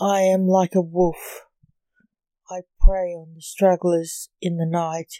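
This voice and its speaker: A woman's dark, mellow, dramatic voice, monotone and flat, at a very slow pace, with big swings in loudness and a dry, close sound with no echo. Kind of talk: poetry reading, dark gothic verse read aloud like a spooky monologue. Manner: slow, brooding, dramatic.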